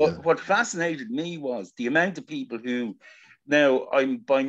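A man with an Irish accent speaks at a moderate pace with lively intonation. The background is quiet. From Ireland. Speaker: audience member; guest. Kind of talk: Q&A discussion. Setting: video call. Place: home room. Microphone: video call.

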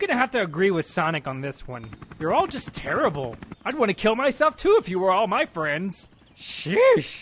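In a cartoonish character voice, a man swings his high pitch very widely. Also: moderate pace. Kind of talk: comic overacting. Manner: brash, sarcastic, blunt.

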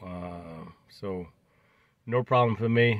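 This is a man talking. The sound is dry, with no echo. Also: quiet background. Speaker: car owner vlogger. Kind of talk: casual vlog chat. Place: car. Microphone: phone near.

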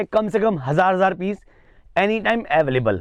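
A man speaks with a high pitch. The sound is dry with no echo, over a quiet background. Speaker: vlogger presenting a wholesale shop. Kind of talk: casual vlog promo. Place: shop. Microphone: camera far.

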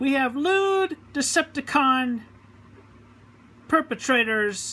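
A bright, sharp tone marks this raised, projected voice. The pitch swings across a very wide range. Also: woman. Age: 30s. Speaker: home video maker. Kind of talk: formal announcement to camera. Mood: indignant, proclaiming. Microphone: phone near.

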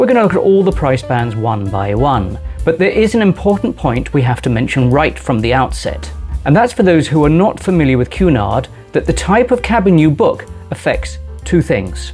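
Faint background music under a man's moderate-paced speech. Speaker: travel vlogger. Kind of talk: travel guide presentation. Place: home room. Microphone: lapel.

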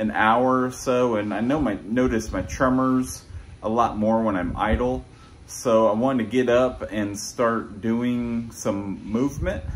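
Against light background noise, a man talks at a fairly slow pace with fairly even intonation. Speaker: fitness vlogger. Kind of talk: casual vlog chat. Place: home room. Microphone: phone near.

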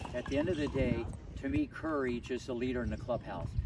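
A man speaks at a moderate pace, the sound dry with no echo, over loud background noise. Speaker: tennis coach. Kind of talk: motivational coaching talk. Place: stadium.

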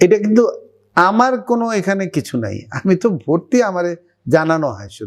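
The pitch swings very widely. Loudness rises and falls in big swings. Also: man, high pitch for a man. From Bangladesh. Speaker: retired army doctor. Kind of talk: testimony. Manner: halting.

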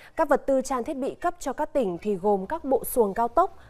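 A woman speaks with a high voice and lively intonation. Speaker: news anchor. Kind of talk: news reading. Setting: studio.

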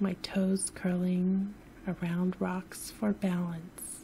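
Whispering at a very slow pace, a woman is soft-spoken. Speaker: sleep story narrator. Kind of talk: sleep story narration. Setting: home recording, no music. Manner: soft-spoken, whispery.

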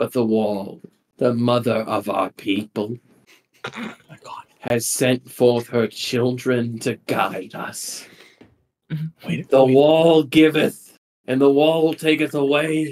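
A put-on character voice with a theatrical tone. The pace is very slow, with long, frequent pauses. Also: man, medium pitch for a man. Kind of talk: sermon, grand proclamation. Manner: fervent, theatrical.

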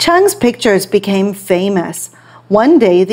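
The text is read aloud plainly. It is plain reading aloud.

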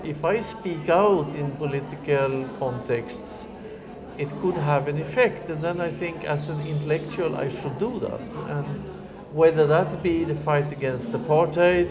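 A man talks at a fairly slow pace. Music plays in the background. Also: ordinary pitch variation. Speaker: interviewee. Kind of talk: interview answer. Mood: earnest, reflective. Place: home room.

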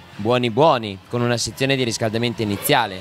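With faint music in the background, a man speaks in fairly even intonation on a dry recording with no echo. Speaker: dance instructor guest. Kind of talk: interview answer. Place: office. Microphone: handheld.

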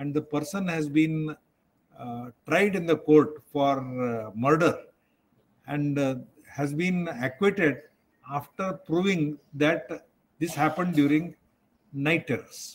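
Speaking very slowly with long, frequent pauses, a man shows ordinary pitch variation. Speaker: psychiatrist lecturer. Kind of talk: lecture.

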